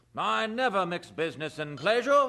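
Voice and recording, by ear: Putting on a character voice, a man speaks high with vocal fry, a bright, sharp tone and big pitch swings at a moderate pace.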